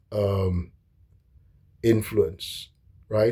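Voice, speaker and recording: A man speaks very slowly and somewhat breathily. His intonation stays fairly even. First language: not English. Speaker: history commentator. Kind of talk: casual monologue lecture. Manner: halting, many fillers and restarts.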